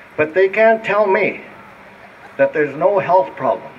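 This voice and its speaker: There is noticeable background noise. A man is speaking at a moderate pace. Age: 80s+. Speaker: speaker with electro-hypersensitivity. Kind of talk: public talk. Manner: halting.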